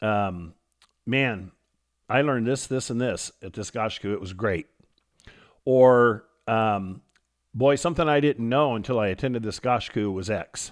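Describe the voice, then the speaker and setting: On a very clean recording with a silent background, a man with an American accent speaks fairly slowly at a medium pitch, with ordinary pitch variation and long, frequent pauses. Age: 60s. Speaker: karate instructor and podcast host. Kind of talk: podcast monologue.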